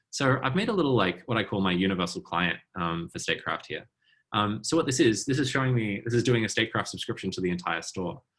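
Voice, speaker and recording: A man talks at a very fast pace in a bright, sharp tone. His intonation is lively. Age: 30s. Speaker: programmer giving a tech talk. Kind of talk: technical demo talk at online meetup. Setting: video call. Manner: hesitant with many fillers.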